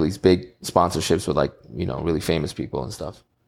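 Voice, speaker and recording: A man with a New York accent, very deep and low in pitch, at a very fast pace. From New York, Queens. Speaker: entrepreneur and audio engineer. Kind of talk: interview chat.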